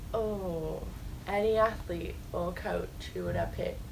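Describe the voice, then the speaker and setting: Someone with an English accent speaks through audible room echo and noticeable background noise. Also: woman. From England. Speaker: college soccer player. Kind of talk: interview. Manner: hesitant, many ums.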